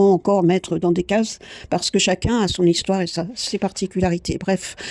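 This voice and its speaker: A woman speaks at a moderate pace in a dark, mellow tone. The recording is very clean with a silent background and a dry, close sound with no echo. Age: 60s. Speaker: painting coach and podcaster. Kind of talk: improvised podcast monologue. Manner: halting, many hesitations.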